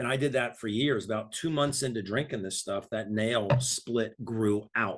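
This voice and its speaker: With a normal speaking voice, a man at medium pitch talks at a moderate pace with hardly any pauses and fairly even intonation. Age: 60s. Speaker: health product promoter. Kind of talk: casual chat.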